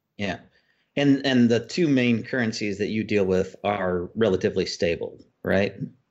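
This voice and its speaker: A man with an American accent and an ordinary speaking voice talks at a moderate pace, his pitch fairly low with ordinary variation. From US. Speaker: freelance consultant. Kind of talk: casual panel discussion.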